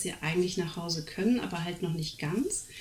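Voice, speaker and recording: A woman speaks at a medium pitch. The recording has audible room echo. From Germany. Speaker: speech therapist. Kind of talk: casual chat.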